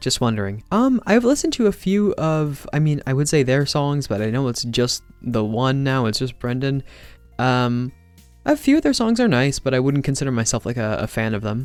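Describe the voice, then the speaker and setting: With music playing in the background, the speaker moves at a moderate pace with ordinary pitch variation. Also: man, medium pitch for a man. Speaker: ASMR artist. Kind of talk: casual talk to camera, Q and A answers.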